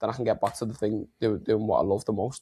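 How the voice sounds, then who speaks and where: The speaker talks in a Liverpool accent. The background is quiet. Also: man. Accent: Liverpool (Scouse). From Liverpool, England. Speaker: health and mindset coach. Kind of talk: podcast interview.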